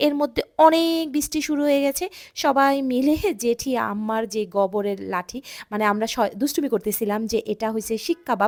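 With a high pitch and lively intonation, a woman is heard on a very clean recording with a silent background. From Bangladesh, Dhaka. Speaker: vlogger. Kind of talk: vlog narration.

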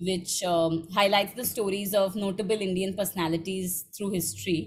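A woman's somewhat breathy voice moves at a moderate pace with fairly even intonation. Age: 20s. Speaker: interviewer, literary platform co-founder; interview host. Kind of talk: interview. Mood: warm, admiring. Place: home room.

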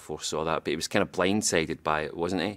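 A man in a Scottish accent, very deep and low in pitch, at a very fast pace with fairly even intonation. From Scotland. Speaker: actor. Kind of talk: interview answer. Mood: relaxed, good-humoured. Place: studio.

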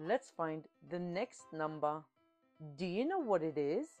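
Cheerful, fairly slow delivery with lively intonation over background music. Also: woman, fairly low pitch for a woman. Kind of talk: children's educational voice-over. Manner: cheerful, encouraging.

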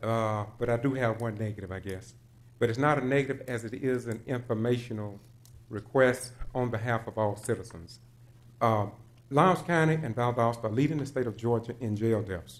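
Ordinary pitch variation accompanies a moderate pace in this speech. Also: man. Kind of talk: public comment speech. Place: hall. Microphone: podium.

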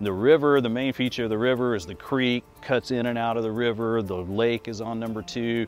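A man at a moderate pace, dry with no echo, faint music in the background. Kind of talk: interview answer. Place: open country. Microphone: lapel.

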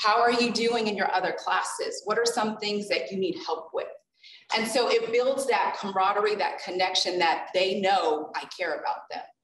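A woman speaks at a moderate pace. The room echo is audible, with light background noise. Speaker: college professor. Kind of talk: panel presentation. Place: classroom.

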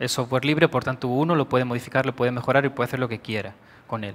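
A man speaks with a Spanish accent. His voice is medium in pitch, with fairly even intonation. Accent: Peninsular Spanish. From Spain. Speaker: IT director. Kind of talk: conference talk. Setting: stage with audience. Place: hall.

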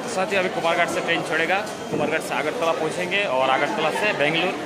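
Loud background noise sits behind a man talking at a moderate pace. His pitch varies in an ordinary way. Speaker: travel vlogger. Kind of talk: casual vlog chat. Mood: cheerful, farewell tone. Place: station. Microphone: phone near.

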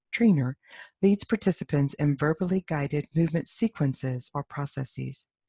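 A woman with a very deep, low pitch speaks at a moderate pace, her tone dark, mellow and somewhat breathy. The sound is dry and close with no echo, and her pitch varies in an ordinary way. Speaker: somatic education researcher. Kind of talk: conference presentation. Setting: stage with audience. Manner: formal.

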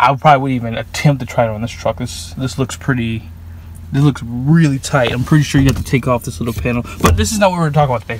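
A man at a very fast pace, dry sound with no echo and light background noise. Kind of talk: tutorial. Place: car. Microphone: phone near.

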